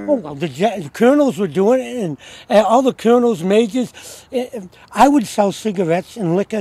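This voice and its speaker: A man with an American accent, fairly quick pace and lively intonation, over noticeable background noise. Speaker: homeless Vietnam War veteran. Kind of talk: interview answer, recounting war stories.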